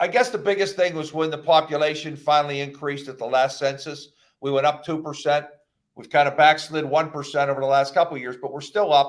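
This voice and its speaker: A man with an American accent talks at a very fast pace. His pitch sits fairly high, and his loudness swings widely. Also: ordinary pitch variation. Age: 60s. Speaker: county executive, politician. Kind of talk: radio interview.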